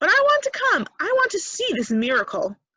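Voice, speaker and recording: A woman puts on a squeaky character voice. She speaks at a fairly quick pace. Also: extremely high pitch for a woman. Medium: read story. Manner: sarcastic.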